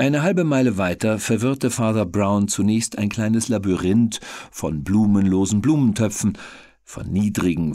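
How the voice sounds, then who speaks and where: On a very clean recording with a silent background, a man speaks at a moderate pace in a fairly low pitch and dark, mellow tone with ordinary pitch variation. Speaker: audiobook narrator. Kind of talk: audiobook reading.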